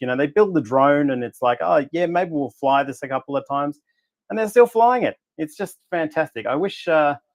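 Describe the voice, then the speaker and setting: A man with an Australian accent, his voice fairly high-pitched with lively intonation, in a dry, close recording without echo. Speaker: astrophotographer. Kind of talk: casual presentation on a livestream.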